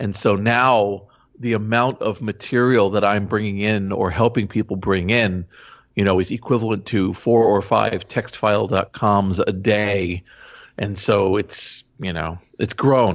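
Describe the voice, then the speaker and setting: This man has an unremarkable speaking voice. He talks at a fairly slow pace with fairly even intonation. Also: fairly low pitch for a man. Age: 50s. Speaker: digital archivist. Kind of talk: interview.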